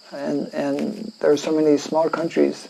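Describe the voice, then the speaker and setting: A man speaks over noticeable background noise. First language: French. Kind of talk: scripture lecture. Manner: halting, many fillers.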